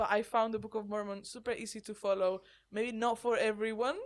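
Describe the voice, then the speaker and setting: A woman with a Spanish accent talks fairly quickly at a fairly high pitch, her intonation fairly even. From Spain. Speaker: podcast co-host. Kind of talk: casual chat.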